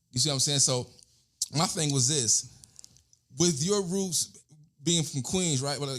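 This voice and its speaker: Pausing long and often, a man talks at a moderate pace with a fairly high pitch and ordinary pitch variation. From Alabama, later New York as teen. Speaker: podcast host. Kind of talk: interview. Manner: halting.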